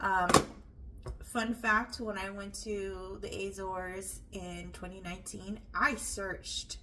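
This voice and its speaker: The pace is very slow. Noticeable background noise and audible room echo are present. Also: woman. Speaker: home cooking video host. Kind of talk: cook-along vlog chat. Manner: casual with frequent fillers.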